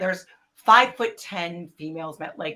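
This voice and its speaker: This woman has a bright, sharp tone and an American accent. She speaks at a fairly slow pace with ordinary pitch variation. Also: very clean recording, silent background. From US Midwest, Racine, Wisconsin. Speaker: actor. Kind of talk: interview, casual chat. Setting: live stream with chat.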